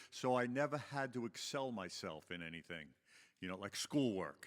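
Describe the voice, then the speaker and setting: A man with a Long Island accent speaks at a moderate pace and medium pitch on a very clean recording with a silent background. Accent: Long Island New York. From Long Island, New York. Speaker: recovery meeting speaker. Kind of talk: personal testimony to audience. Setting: stage with audience. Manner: conversational, filler-heavy.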